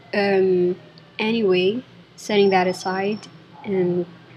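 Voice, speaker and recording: A woman talks at a medium pitch while noticeable background noise is present. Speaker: designer reviewing software. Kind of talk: screen-recorded software review. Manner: halting, thinking aloud.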